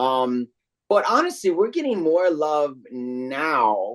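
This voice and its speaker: Speaking with an American accent, a man moves through very wide pitch swings. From New York. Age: 50s. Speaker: voice actor. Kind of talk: interview.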